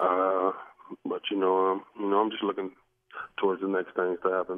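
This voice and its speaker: A man's very deep, low voice at a moderate pace. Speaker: professional football running back. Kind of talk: interview answer.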